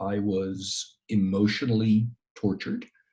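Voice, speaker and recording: The man's voice has a dark, mellow tone and sounds somewhat breathy. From New York, US (immigrant child). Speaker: professor and crisis consultant. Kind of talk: interview.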